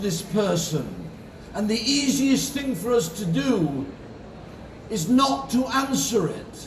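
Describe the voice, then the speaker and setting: Heard through noticeable background noise and audible room echo, a man speaks at a very slow pace in an extremely high pitch. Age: 70s. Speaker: insurance advisor and conference speaker. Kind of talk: motivational keynote speech.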